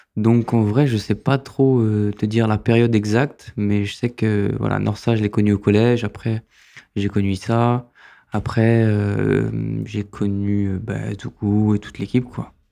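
Music plays in the background as a man with a fairly low voice speaks at a fairly slow pace in a flat monotone. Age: 30s. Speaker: filmmaker and photographer. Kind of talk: interview. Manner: halting.

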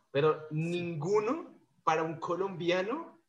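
Audible room echo surrounds this man's voice. His pitch is high. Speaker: podcast host, gastronomy graduate. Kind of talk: casual interview.

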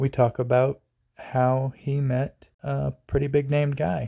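The man's voice has a dark, mellow tone at medium pitch and a very slow pace. The sound is dry and close, with no echo. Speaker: podcast host. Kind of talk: casual interview chat.

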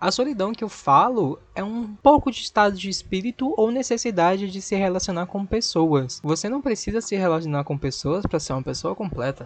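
A man speaks at a high pitch and a fairly quick pace. His tone is animated, with very wide pitch swings. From Brazil, Recife. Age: 20s. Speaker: podcast host. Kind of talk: casual podcast monologue.

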